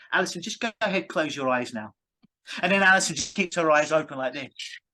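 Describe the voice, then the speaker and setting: The voice has an English accent and a bright, sharp tone with ordinary pitch variation. The background is quiet. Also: man. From England. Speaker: clinical hypnotist. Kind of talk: interview. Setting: call.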